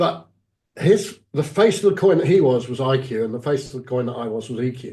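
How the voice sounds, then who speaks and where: Lively intonation from a man with a dark, mellow, somewhat breathy tone, medium pitch, and fairly quick pace. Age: 60s. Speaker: executive coach. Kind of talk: interview.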